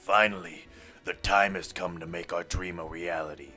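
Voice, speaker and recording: Over music in the background, a man puts on a character voice that is raspy and very deep and low, speaking in a flat monotone at a moderate pace. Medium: game stream. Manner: commanding, solemn.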